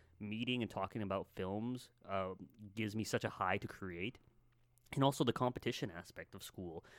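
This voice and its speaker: A man with an unremarkable speaking voice and a Canadian accent talks at a moderate pace, with a fairly low pitch and ordinary pitch variation. His loudness swings widely on a very clean recording with a silent background. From Canada, Winnipeg area. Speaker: filmmaker. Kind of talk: casual chat.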